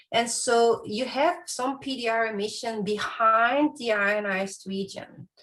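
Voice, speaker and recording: Lively intonation from a woman, somewhat breathy. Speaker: astrophysics researcher. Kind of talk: lecture.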